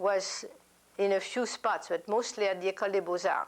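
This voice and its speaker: A woman at a medium pitch with a French accent, fairly slow and with fairly even intonation. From France. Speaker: oral history interviewee. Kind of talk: interview answer.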